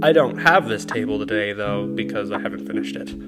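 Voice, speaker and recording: A man talking at a fairly quick pace with very wide pitch swings, music in the background. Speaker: YouTube lore narrator. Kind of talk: casual educational narration.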